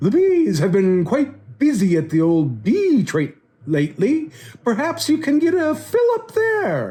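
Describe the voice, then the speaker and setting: Someone speaks in a put-on character voice. It sits fairly high in pitch and moves fairly slowly. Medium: read story. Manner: hooting, knowing.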